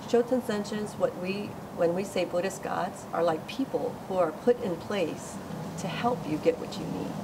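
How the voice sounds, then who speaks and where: Against noticeable background noise, a woman speaks at a moderate pace and medium pitch, with ordinary pitch variation. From Hawaii. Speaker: Buddhist practitioner and chapter leader. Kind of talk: informal teaching talk.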